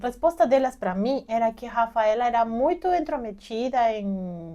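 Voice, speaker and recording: In a Peruvian accent, a woman speaks fairly slowly with a fairly high pitch, lively intonation and a dark, mellow tone. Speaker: journalist, immigrant mother. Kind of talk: interview testimony.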